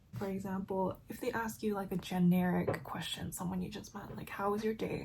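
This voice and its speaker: At a fairly quick pace, a woman with a medium pitch and a plain, everyday voice speaks with fairly even intonation. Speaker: beauty and lifestyle vlogger. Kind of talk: casual chat while doing makeup and reading an article.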